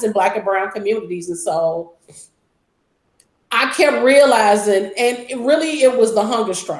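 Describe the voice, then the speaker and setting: A woman speaks with a fairly high pitch. Her pace is moderate and her intonation lively. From Chicago. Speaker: city council member and community organizer. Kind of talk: interview.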